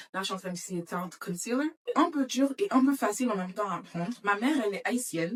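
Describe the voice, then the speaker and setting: A woman with a fairly high pitch rushes along at a very fast pace, her intonation lively. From Florida, Saint-Martin and France (mixed childhood). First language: English (speaking French). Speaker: beauty vlogger. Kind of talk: casual makeup vlog chat. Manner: halting, with hesitations.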